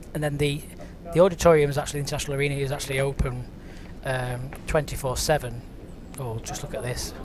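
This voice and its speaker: In a northern English accent, a man with a fairly high voice talks very fast but with long, frequent pauses, his intonation flat and monotone, amid audible room echo and noticeable background noise. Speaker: bowls commentator. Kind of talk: live commentary. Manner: casual, conversational.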